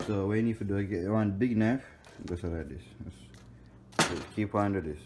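Loud background noise runs under a man speaking at a fairly quick pace. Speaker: home cooking vlogger. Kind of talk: casual vlog chat, playful tutorial. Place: kitchen. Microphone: phone near.

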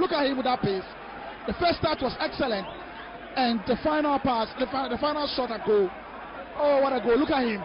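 An excited man speaks at an extremely high pitch with ordinary pitch variation, long, frequent pauses, and noticeable background noise. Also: fairly quick pace. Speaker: football commentator. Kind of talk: live sports commentary. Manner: excited, fast play-by-play with repetitions.

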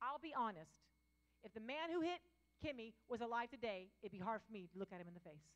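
Over a quiet background, a woman talks very fast in an animated tone, her fairly high voice making very wide pitch swings and big swings in loudness. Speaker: pastor. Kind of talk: sermon. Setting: church with live congregation. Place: church. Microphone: handheld.

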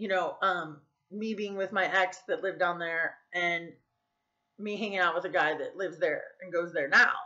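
The setting behind the voice is quiet. A woman talks at a moderate pace. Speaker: vlogger. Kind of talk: casual vlog chat. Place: home room. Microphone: webcam.

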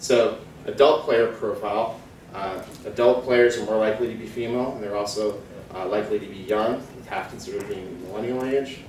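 Recorded with audible room echo and light background noise, a man at a medium pitch speaks with fairly even intonation and big swings in loudness. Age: 30s. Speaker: market research analyst. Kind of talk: conference talk. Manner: many fillers and hesitations. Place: hall. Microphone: camera far.

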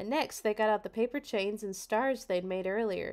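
Someone does plain reading aloud, the pitch varying in an ordinary way.

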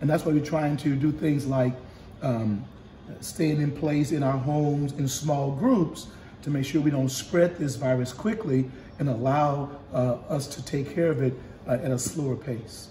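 Audible room echo and light background noise surround a man with a fairly high pitch. He talks at a fairly slow pace with ordinary pitch variation. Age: 70s. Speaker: bishop. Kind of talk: casual chat. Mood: calm, reassuring. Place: home room. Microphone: phone near.

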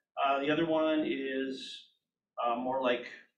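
Here a man talks at a medium pitch with monotone, flat intonation. There is audible room echo. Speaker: real estate agent. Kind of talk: team meeting discussion. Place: meeting room.

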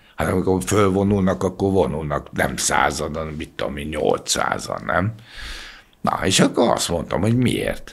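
A man speaks very deep and low, with vocal fry. He talks at a fairly slow pace. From Hungary, Budapest; Hungary. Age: 70s. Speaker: former bodyguard and model agency owner; podcast guest. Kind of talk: interview. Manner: casual. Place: studio. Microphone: studio mic.

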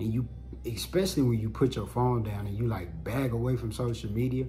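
A man speaks with ordinary pitch variation over light background noise. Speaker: vlogger, podcaster. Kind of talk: casual vlog chat. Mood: reflective, relaxed. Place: home room.

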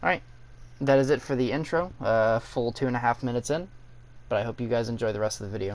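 At a very fast pace, a man talks at medium pitch with ordinary pitch variation. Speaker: gaming youtuber. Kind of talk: casual gaming video intro and gameplay commentary. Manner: self-described as not good at talking, uses fillers.

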